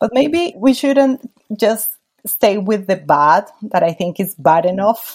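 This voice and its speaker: Speaking at a very slow pace, a woman with a Spanish accent uses a medium pitch with very wide pitch swings. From Colombia. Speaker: lawyer and women's rights advocate. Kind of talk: interview.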